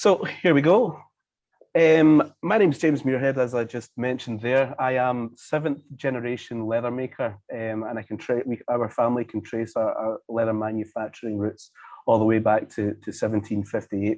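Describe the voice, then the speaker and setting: A man with a Scottish accent and ordinary pitch variation. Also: medium pitch for a man. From Scotland. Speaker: leather manufacturer. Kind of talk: presentation. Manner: fast; hesitant, many fillers.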